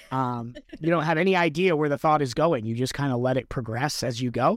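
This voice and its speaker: On a very clean recording with a silent background, a man talks at a fairly quick pace in an unremarkable speaking voice with ordinary pitch variation. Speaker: podcast host. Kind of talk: casual chat.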